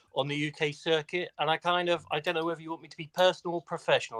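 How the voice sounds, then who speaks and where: In an English accent, a man talks at a very fast pace with a bright, sharp tone, the sound dry and close with no echo. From England. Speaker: cybersecurity executive. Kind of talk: casual chat.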